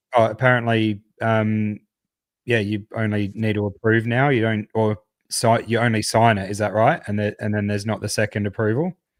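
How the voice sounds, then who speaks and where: In a very clean recording with a silent background and a dry, close sound with no echo, a man with an Australian accent talks at a moderate pace, his fairly low pitch held in fairly even intonation. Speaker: crypto podcast co-host. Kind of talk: casual chat.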